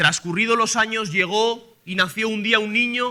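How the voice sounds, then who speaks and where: In a Castilian accent, a man raises and projects his voice with a bright, sharp tone, ordinary pitch variation and a fairly slow pace. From Spain. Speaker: preacher. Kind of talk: sermon.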